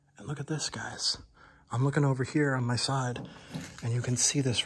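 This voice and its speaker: A man's monotone, flat intonation. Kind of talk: casual vlog chat. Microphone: phone near.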